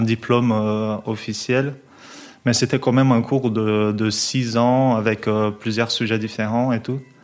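Against a silent background in a very clean recording, a man with a Portuguese accent speaks very slowly at a medium pitch, his intonation monotone and flat. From Brazil, São Paulo. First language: Portuguese (speaking French). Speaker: jazz double bassist. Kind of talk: casual interview. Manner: hesitant, many fillers and repetitions.

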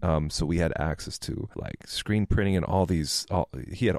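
This man has an American accent and a very deep, low pitch. He talks at a moderate pace. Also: very clean recording, silent background. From Minnesota. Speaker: graphic designer. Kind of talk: casual chat.

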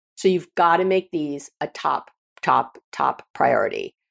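A woman's animated voice at a fairly slow pace, dry and close with no echo. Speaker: psychologist and podcast host. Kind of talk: solo self-help talk. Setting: home office.

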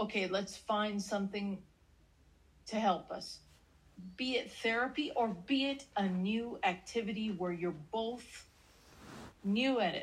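An animated, somewhat breathy woman's voice, fairly high in pitch with ordinary variation, fairly slow and broken by long, frequent pauses. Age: 40s. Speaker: relationship podcast co-host. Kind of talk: casual chat.

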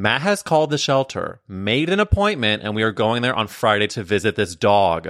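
With hardly any pauses, a man speaks at a moderate pace and medium pitch. His tone is animated and his intonation lively. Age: 30s. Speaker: podcast host. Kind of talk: show intro monologue; casual chat. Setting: video call.

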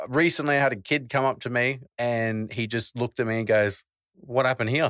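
Speaking at a fairly quick pace with an Australian accent, the voice has a bright, sharp tone and a dry, close sound with no echo. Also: man. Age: 20s. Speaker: wheelchair athlete and rapper. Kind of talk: casual interview chat.

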